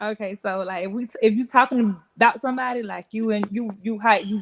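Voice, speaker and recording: Speaking at a fairly quick pace with fairly even intonation, a woman with an Atlanta accent has a fairly high pitch, and the sound is dry and close with no echo. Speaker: fashion entrepreneur. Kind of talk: casual interview chat.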